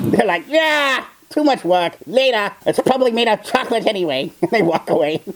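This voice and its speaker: This put-on character voice sits at a fairly high pitch. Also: moderate pace. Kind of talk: character reaction video commentary. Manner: sarcastic, mocking.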